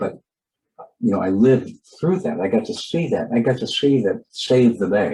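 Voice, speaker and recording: Speaking with an American accent, a man's somewhat breathy voice has a dark, mellow tone and very wide pitch swings. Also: medium pitch for a man, moderate pace. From California. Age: 70s. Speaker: conservation storyteller and broadcaster. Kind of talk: interview conversation. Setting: webinar video call. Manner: halting, with many fillers and repetitions.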